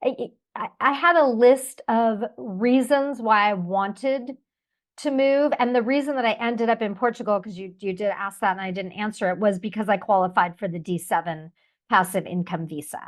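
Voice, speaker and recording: In an American accent, a woman talks at a moderate pace with a fairly high pitch and lively intonation. It is a normal speaking voice, with big swings in loudness. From United States. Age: 50s. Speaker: expat interviewee. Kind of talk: interview.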